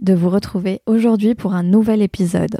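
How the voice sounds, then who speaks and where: Speaking at a moderate pace, a woman uses a medium pitch and a dark, mellow tone. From Algeria. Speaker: podcast host. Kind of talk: interview; scripted intro. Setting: online interview.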